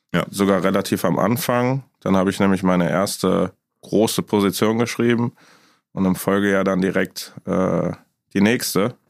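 With an ordinary speaking voice, a man speaks at a moderate pace in a fairly low pitch, keeping fairly even intonation and very even loudness. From Düsseldorf, Germany. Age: 20s. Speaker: insurance broker. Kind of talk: casual chat.

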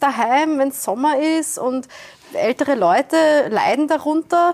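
The recording is dry and close, with no echo. A woman delivers her words fairly slowly. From Austria, Wiener Neustadt south of Vienna. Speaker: environmental organisation director. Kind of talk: panel discussion. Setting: venue in Vienna, filmed.

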